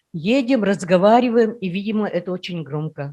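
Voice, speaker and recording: A woman's dark, mellow tone in an Udmurtia accent, fairly slow, with lively intonation. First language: Udmurt (speaking Russian). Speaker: workshop participant. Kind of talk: personal story in group discussion.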